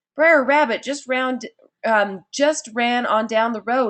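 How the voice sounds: A croaky, put-on character voice delivers its lines at a fairly slow pace. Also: woman, high pitch for a woman.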